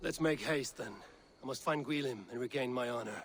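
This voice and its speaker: Putting on a character voice, a man sounds raspy at a medium pitch. He moves at a fairly quick pace. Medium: video game. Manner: blunt, earnest.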